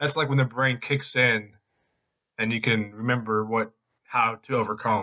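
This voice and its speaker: A man's bright, sharp tone with very even loudness and fairly even intonation. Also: medium pitch for a man, moderate pace. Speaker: podcast host. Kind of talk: casual interview.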